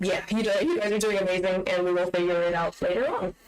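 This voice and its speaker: This woman has an unremarkable speaking voice at a medium pitch. Her pitch variation is ordinary. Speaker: community manager hosting stream. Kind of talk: live stream Q&A. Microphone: microphone hanging from ceiling, far away.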